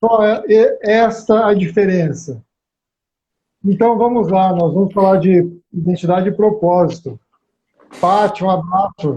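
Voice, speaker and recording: Pitched high for a man, his dark, mellow voice moves at a fairly slow pace with ordinary pitch variation. His loudness stays very even, broken by long, frequent pauses. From interior of São Paulo state, Brazil. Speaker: live stream host. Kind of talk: live stream discussion.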